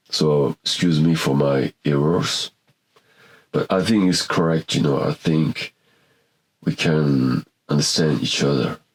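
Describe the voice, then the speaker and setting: Speaking with a non-native accent, a man with a very deep, low pitch keeps a fairly even intonation and very even loudness, with long, frequent pauses, in a dry, close sound with no echo. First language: not English. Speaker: painter and photographer. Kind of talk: casual monologue to camera. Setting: small home studio. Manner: halting.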